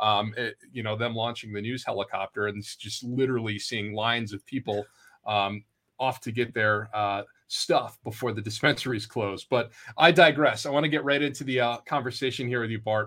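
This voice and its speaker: At a moderate pace and with fairly even intonation, a man speaks at a medium pitch in a bright, sharp tone, recorded very cleanly against a silent background. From Vermont. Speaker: podcast co-host, PR professional. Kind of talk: casual interview chat.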